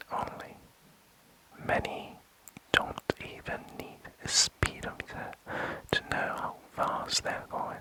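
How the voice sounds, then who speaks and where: A man whispers at a very slow pace, with long, frequent pauses and big swings in loudness. Noticeable background noise sits behind him. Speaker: ASMR creator. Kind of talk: ASMR sleep video. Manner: whispered.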